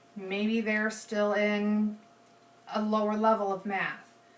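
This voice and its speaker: Noticeable background noise sits behind a woman's fairly high voice. She speaks at a fairly slow pace. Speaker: student. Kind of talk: persuasive presentation. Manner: halting, self-correcting.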